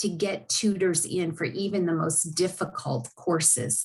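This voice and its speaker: A woman talks at a moderate pace with a somewhat breathy voice. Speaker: university learning specialist. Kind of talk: informational presentation.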